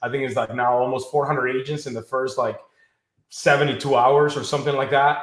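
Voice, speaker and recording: Audible room echo surrounds a man speaking at a medium pitch in a monotone, flat intonation. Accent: Spanish. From Mexico, Acapulco. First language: Spanish. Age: 30s. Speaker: financial services business leader. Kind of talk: interview.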